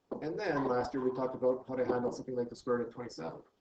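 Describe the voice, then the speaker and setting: A man speaks at a medium pitch and a very fast pace, with audible room echo. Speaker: math teacher. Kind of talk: lecture.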